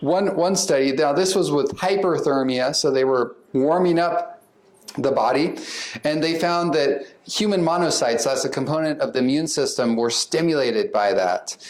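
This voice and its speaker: Audible room echo surrounds a man with a fairly high pitch and ordinary pitch variation. He keeps a moderate pace and very even loudness. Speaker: psychiatrist. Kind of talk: lecture.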